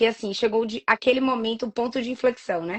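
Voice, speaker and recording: Her strong Bahian accent comes through as a woman speaks with a fairly high pitch. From Bahia, Brazil (Salvador). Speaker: entrepreneur. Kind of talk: interview.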